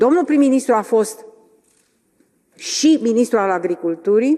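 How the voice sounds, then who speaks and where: A woman with a fairly high pitch and lively intonation, at a moderate pace. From Romania. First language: Romanian (speaking Finnish). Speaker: politician. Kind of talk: parliamentary debate question.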